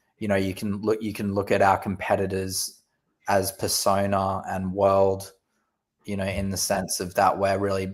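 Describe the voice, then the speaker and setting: In an Australian accent, a man speaks at a moderate pace in a fairly low pitch with monotone, flat intonation, in a very clean recording with a silent background. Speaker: company representative. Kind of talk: casual chat.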